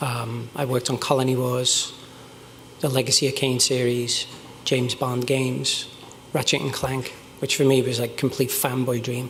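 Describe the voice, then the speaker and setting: A man in a Liverpool accent, flat and monotone at a moderate pace, with audible room echo and noticeable background noise. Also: medium pitch for a man. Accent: Liverpool (Scouse). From northern England, Liverpool. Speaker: game design director. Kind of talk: conference talk. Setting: stage with audience.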